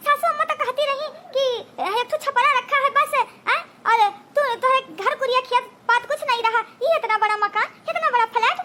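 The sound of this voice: Using a cartoonish character voice at an extremely high pitch, a woman speaks at a fairly quick pace with ordinary pitch variation and long, frequent pauses.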